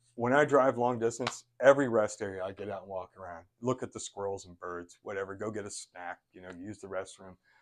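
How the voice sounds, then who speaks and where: A man talking at a very fast pace over a quiet background. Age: 60s. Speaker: chiropractor. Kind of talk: casual chat.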